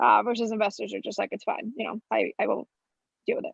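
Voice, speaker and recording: Very fast and fairly high-pitched for a woman, her voice carries vocal fry. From Florida (Orlando), US; born in Colombia. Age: 20s. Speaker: venture capitalist. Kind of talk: podcast interview.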